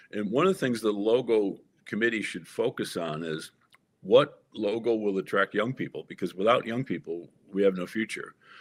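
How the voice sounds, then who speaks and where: A man with a plain, everyday voice speaks at a moderate pace and fairly low pitch with ordinary pitch variation. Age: 60s. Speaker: political candidate and author. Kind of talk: interview.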